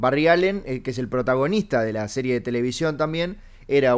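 A man's pitch varies in an ordinary way while he talks at a moderate pace. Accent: Uruguayan. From Uruguay. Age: 30s. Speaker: comedian podcast host. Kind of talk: casual comedic chat.

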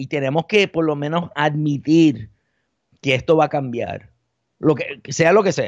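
A man's unremarkable speaking voice, fairly high in pitch, at a fairly slow pace with ordinary pitch variation. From Puerto Rico and the Bronx, New York. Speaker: journalist and media founder. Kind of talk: podcast interview.

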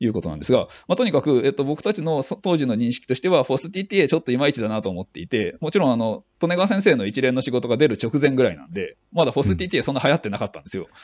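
A man speaks at a medium pitch with vocal fry, very wide pitch swings and big swings in loudness. His pace is very fast, with hardly any pauses. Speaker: neuroscience team leader. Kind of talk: casual interview. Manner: halting with frequent fillers.

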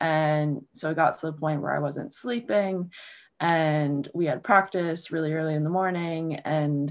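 Against a quiet background, a woman speaks with an American accent. Her pitch is very deep and low, and her intonation fairly even. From Maryland, Baltimore. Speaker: small business owner and lacrosse coach. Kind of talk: casual chat.

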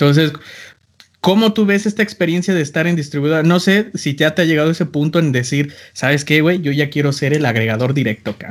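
Spoken in an unremarkable speaking voice, the words move fairly quickly with ordinary pitch variation. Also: man, fairly high pitch for a man. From Mexico, small town. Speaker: podcast host and music producer. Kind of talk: casual chat.

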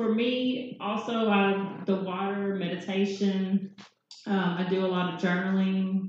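A woman with a Southern US accent speaks fairly slowly in a flat, monotone way, keeping her loudness very even. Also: medium pitch for a woman. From Nashville, Tennessee. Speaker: Reiki and sound therapy practitioner. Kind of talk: panel discussion. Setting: live event with audience.

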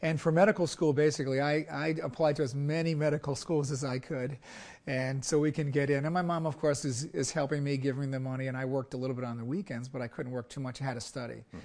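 Against a quiet background, a man with a New York accent talks at a very fast pace in a fairly high pitch with ordinary pitch variation. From US, Brooklyn, New York. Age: old. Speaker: surgeon. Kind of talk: interview.

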